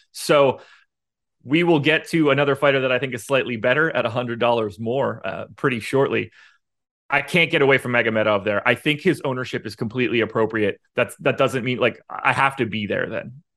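Over a silent background in a very clean recording, a man with a medium pitch speaks at a fairly quick pace in an ordinary speaking voice, with ordinary pitch variation. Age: 30s. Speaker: MMA fantasy sports analyst. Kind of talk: casual chat.

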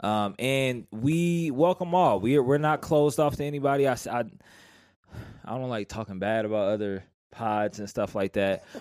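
A man talks at a moderate pace in an unremarkable speaking voice, medium in pitch. His intonation is lively, and the recording is very clean with a silent background. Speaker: podcast host. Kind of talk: casual podcast banter.

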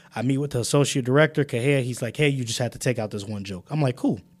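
Talking at a very fast pace with an American accent, a man uses ordinary pitch variation. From Chicago. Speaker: university student. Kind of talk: casual interview.

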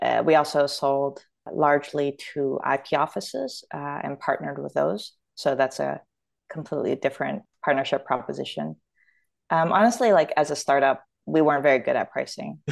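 Against a quiet background, a woman with a Canadian accent speaks at a moderate pace. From Toronto, Canada. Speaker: startup founder and product executive. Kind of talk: casual interview chat.

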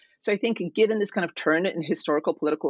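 Someone with an American accent talks fairly quickly in a plain, everyday voice with ordinary pitch variation. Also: woman. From Kansas, US (emigrated from Poland at 10). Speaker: political science professor. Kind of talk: interview about her book.

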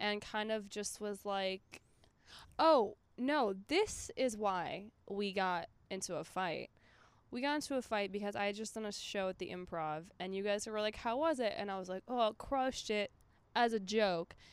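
In a very clean recording with a silent background, a woman with an American accent talks at a moderate pace in a normal speaking voice of medium pitch with ordinary pitch variation. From Minnesota. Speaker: stand-up comedian. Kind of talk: casual chat. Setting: outdoors in a yard.

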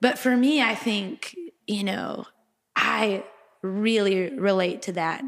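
A woman's normal speaking voice with an American accent, medium in pitch with ordinary pitch variation, at a fairly slow pace. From Texas. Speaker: singer-songwriter. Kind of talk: casual discussion.

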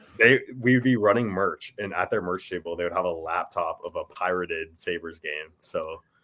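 A man at a moderate pace, with hardly any pauses. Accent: Ontario. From Ontario, Canada. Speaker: musician in a band. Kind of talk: casual chat.

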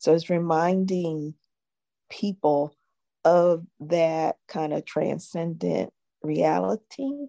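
At a very slow pace, a woman with a very deep, low pitch is heard in a dry, close sound with no echo. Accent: American. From US Northeast, Philadelphia. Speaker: jazz singer-songwriter and social finance innovator. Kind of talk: interview. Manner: halting, many fillers.

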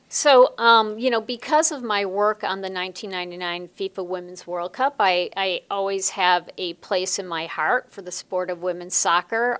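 A woman with an American accent speaks in an unremarkable speaking voice at a fairly slow pace, her pitch medium with ordinary variation, on a very clean recording with a silent background. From US Midwest, Chicago. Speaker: sports executive and lawyer. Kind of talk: interview.

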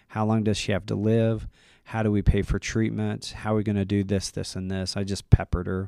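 A man with an American accent speaks in a fairly low voice with a dark, mellow tone and fairly even intonation. The recording is very clean, with a silent background. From Utah. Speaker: clinical therapist. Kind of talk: interview testimony.

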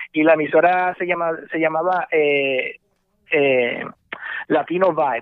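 A man speaks in a plain, everyday voice at a fairly high pitch. His intonation stays fairly even. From Puerto Rico and mainland US. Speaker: radio host. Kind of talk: casual interview.

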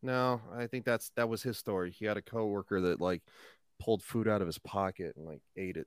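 A man speaks fairly quickly at a fairly low pitch with ordinary pitch variation, in a plain, everyday voice. The recording is very clean, with a silent background. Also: dry, close sound with no echo. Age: 30s. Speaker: YouTuber. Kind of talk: casual chat.

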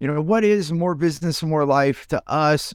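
A man with an American accent and a plain, everyday voice speaks at a moderate pace and fairly high pitch with ordinary pitch variation, in a dry, close sound with no echo on a very clean recording with a silent background. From United States. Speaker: business podcast host. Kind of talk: casual chat.

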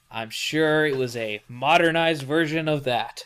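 A man uses a normal speaking voice, pitched fairly high, with ordinary pitch variation. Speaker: podcast host. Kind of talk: casual chat about a book series. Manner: joking, playful banter.

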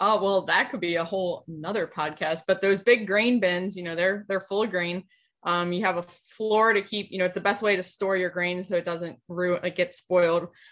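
Speaking in an American accent, a woman keeps a moderate pace and a medium pitch. Hers is an unremarkable speaking voice with fairly even intonation. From Pennsylvania. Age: 30s. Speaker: cattle farmer and feed mill owner. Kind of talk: casual interview.

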